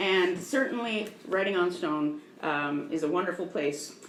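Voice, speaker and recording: At a moderate pace, the voice comes through noticeable background noise and audible room echo. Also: woman. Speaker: museum educator and former park interpreter. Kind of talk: public lecture. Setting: museum talk with live audience, PA microphone. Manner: loud.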